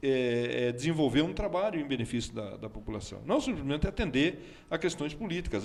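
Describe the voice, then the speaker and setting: Over noticeable background noise, the words rush out at a very fast pace. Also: man. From Brazil, Votorantim (São Paulo state). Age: 60s. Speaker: local politician, former military officer. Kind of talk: talk show interview.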